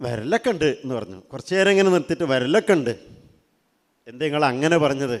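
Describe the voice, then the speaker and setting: A plain, everyday voice comes with lively intonation. The recording is very clean, with a silent background. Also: man, fairly high pitch for a man. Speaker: Islamic teacher speaking to students. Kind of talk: religious talk to teenagers. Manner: conversational, asking audience questions.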